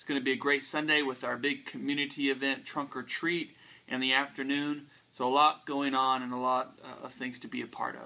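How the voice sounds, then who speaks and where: Monotone and flat in intonation, a man speaks at a fairly quick pace in a fairly high pitch with a bright, sharp tone and big swings in loudness. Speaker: pastor. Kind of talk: casual talk to camera. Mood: upbeat, friendly. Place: home room.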